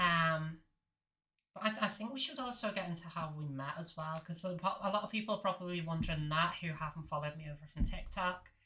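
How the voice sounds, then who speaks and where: In a Liverpool accent, a woman speaks at a very fast pace with a fairly low pitch, ordinary pitch variation and a bright, sharp tone. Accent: Scouse. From Liverpool, northern England. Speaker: podcast host. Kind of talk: casual chat.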